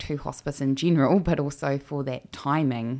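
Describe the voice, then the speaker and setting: On a very clean recording with a silent background, a woman with a New Zealand accent speaks at a moderate pace with a very deep, low pitch and a dark, mellow tone. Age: 30s. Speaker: pro-life podcast host. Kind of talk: personal testimony.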